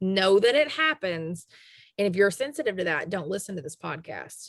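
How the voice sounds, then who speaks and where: Speaking with a Southern US accent, a woman makes very wide pitch swings. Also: medium pitch for a woman, moderate pace, big swings in loudness. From US South. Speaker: podcast host. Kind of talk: casual chat.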